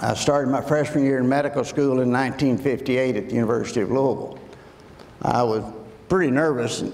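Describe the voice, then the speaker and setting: A man with a Kentucky accent at a fairly quick pace, with audible room echo. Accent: Southern US (Kentucky). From US South, western Kentucky. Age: 70s. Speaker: addiction medicine doctor. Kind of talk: talk to high school students.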